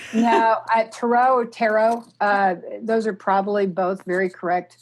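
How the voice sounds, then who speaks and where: A woman speaks with a slight Oklahoma accent. Her pitch is medium and her pace fairly slow. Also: quiet background. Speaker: artist and tarot deck creator. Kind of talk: podcast interview. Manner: halting, many fillers.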